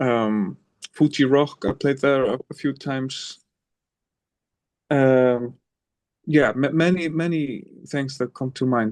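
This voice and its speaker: A man at medium pitch speaks at a very slow pace. Long, frequent pauses break up his speech, and his pitch varies in an ordinary way. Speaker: singer-songwriter. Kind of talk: interview answer.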